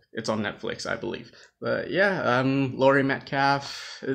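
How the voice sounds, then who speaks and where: A man mumbles at a fairly slow pace. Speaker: movie vlogger. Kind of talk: casual live stream talk to camera. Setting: low-quality home live stream. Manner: hesitant, mumbling.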